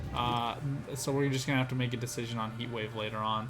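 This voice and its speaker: Music plays in the background as a man talks at a fairly quick pace amid audible room echo. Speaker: gaming content creator. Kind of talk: gameplay commentary. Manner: fast; hesitant fillers.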